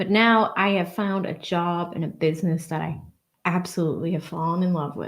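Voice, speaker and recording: Somewhat breathy and medium in pitch, a woman with a Boston accent speaks at a moderate pace. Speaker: livestreamer reading chat messages. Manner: chatty, warm, casual.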